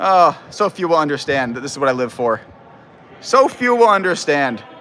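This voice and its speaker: Loud and fairly high-pitched, a man speaks with very wide swings in pitch. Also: moderate pace. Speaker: amateur football commentator. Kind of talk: live commentary. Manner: animated.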